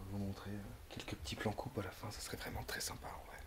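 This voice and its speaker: This is a man's voice. He is whispering. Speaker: urban explorer, video creator. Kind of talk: walkthrough narration. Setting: indoors in abandoned farmhouse. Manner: hesitant, many fillers.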